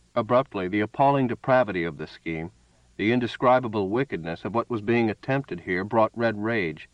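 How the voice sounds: Someone reads in a natural voice.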